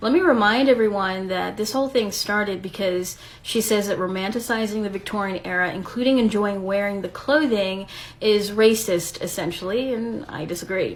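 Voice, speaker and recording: There is audible room echo around this woman's voice. She speaks at a moderate pace with a medium pitch and ordinary variation. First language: Spanish. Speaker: video creator responding to critic. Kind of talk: response video rebuttal.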